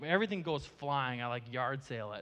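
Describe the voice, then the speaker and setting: With an Upper Midwest accent, a man speaks at a moderate pace in a fairly high pitch with ordinary pitch variation. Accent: Upper Midwest American. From US Midwest (Marshfield, Wisconsin). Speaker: ministry founder, guest speaker. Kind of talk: sermon. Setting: church with live audience.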